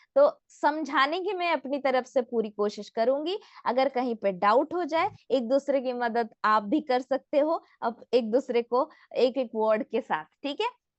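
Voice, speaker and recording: A woman's high voice with a non-native accent and lively intonation. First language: not Hindi (speaking Hindi). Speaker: health product trainer. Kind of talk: training session. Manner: interactive, asks audience questions.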